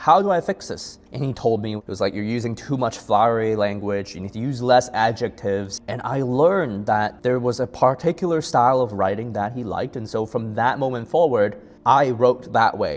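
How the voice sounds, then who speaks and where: A man speaks at a moderate pace with a non-native accent. His pitch is medium and varies in an ordinary way. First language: not English. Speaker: personal finance youtuber. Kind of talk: casual talk to camera.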